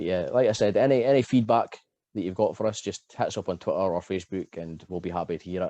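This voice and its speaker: Against a quiet background, a man talks at a very fast pace with a fairly low pitch, a dark, mellow tone, ordinary pitch variation and a dry, close sound with no echo. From Scotland, Aberdeen. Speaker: podcast host and wrestler. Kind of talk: casual podcast intro. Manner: hesitant, many fillers and repeats.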